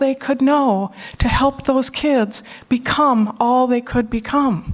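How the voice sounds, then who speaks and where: With a Minnesotan accent, the speaker keeps a fairly even intonation over noticeable background noise. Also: woman. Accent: Minnesota. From US Midwest, Minnesota. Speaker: conference speaker and panel moderator. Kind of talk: conference talk. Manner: emotional, choking up.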